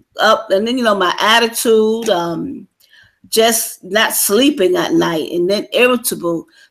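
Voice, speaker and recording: Speaking at a moderate pace, a woman uses a plain, everyday voice at medium pitch with ordinary pitch variation. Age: 60s. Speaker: military veteran. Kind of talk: interview.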